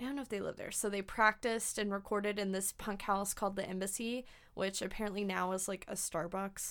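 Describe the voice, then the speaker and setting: An unremarkable speaking voice from a woman with an American accent, medium in pitch with fairly even intonation, on a very clean recording with a silent background. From US South. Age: 20s. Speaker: podcast host, music journalist. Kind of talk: casual chat.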